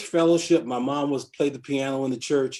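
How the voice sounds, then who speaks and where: A man with a fairly high voice speaks at a fairly slow pace. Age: 60s. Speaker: police abuse advocate. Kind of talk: interview. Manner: halting, many repetitions.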